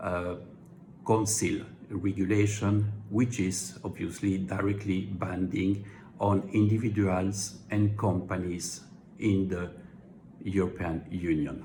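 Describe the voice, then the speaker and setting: A man with a strong French accent, fairly low pitch and a somewhat breathy voice, very slow pace and fairly even intonation, with audible room echo. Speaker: legal commentator. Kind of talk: explainer monologue. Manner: formal, with hesitations.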